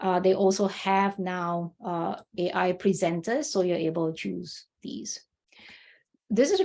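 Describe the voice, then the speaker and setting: A woman speaks at a medium pitch in a dark, mellow tone. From Malaysia. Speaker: workshop presenter. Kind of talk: tutorial. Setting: video call. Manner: casual, with many fillers.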